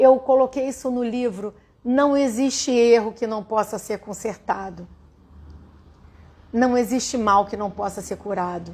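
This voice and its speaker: Speaking fairly slowly with long, frequent pauses, a woman uses a fairly high, warm voice with ordinary pitch variation. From Rio de Janeiro, Brazil. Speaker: holistic therapist and writer. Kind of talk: livestream spiritual talk. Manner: warm, conversational.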